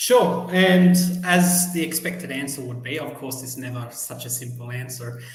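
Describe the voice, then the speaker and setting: A man with an Australian accent speaks at a moderate pace and a fairly high pitch, with ordinary pitch variation and big swings in loudness. Audible room echo and noticeable background noise are present. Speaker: journalist and PhD student. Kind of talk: podcast interview.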